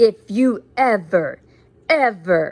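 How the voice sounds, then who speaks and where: Put-on character voice with a menacing tone. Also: woman. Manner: menacing, hissing.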